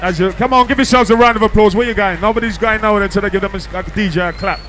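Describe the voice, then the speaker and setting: A man's high-pitched, playful, warm voice at a very fast pace with hardly any pauses, over noticeable background noise. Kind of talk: hype MC working a live club crowd, shouting out DJs and closing the night. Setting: club or party with a live crowd. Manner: loud, fast, animated crowd-hyping banter with cheeky teasing and call-and-response; playful, jokey, laughing, with UK slang and warm sign-off shout-outs.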